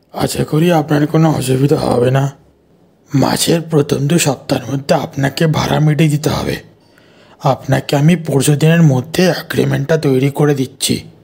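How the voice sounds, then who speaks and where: Using a put-on character voice, a man speaks raspily at a moderate pace in a fairly high pitch, with monotone, flat intonation and very even loudness. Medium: audio drama. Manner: formal, polite.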